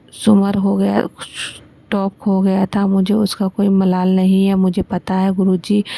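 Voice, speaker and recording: Dark and mellow in tone, a woman speaks with monotone, flat intonation. The sound is dry and close, with no echo. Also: medium pitch for a woman. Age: 60s. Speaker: devotee sharing a thanksgiving testimony. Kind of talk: devotional testimony.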